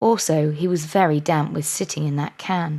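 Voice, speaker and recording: A woman with an English accent speaks in a soothing tone. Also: very clean recording, silent background. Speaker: life coach. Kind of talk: bedtime story reading. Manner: soft, soothing.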